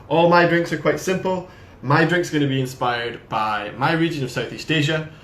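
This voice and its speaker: With an audible room echo and noticeable background noise, a man in a Scottish accent talks at a fairly quick pace. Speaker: brand ambassador. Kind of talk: casual chat. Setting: live video stream.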